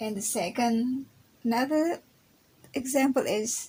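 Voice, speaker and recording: Speaking in an Indonesian accent, a woman's high-pitched voice moves at a very slow pace. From Indonesia, Java. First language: Javanese. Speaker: university student. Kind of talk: recorded class presentation. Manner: halting.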